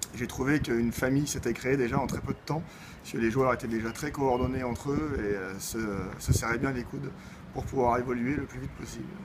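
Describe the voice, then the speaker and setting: Speaking at a medium pitch, a man talks very fast while noticeable background noise carries on behind him. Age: 20s. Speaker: amateur football player. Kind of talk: interview.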